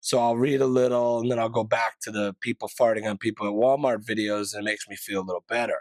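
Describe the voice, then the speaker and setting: A man talks very fast in a monotone, flat way. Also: medium pitch for a man. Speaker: podcast host. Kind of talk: casual monologue. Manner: rambling, filler-heavy.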